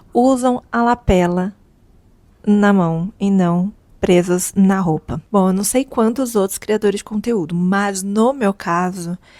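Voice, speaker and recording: A soft-spoken woman with a medium-pitched voice and a dark, mellow tone talks at a very slow pace with ordinary pitch variation, recorded in a dry, close sound with no echo. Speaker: content creator. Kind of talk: casual vlog talk. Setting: at home, apartment. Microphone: lavalier mic held close to mouth.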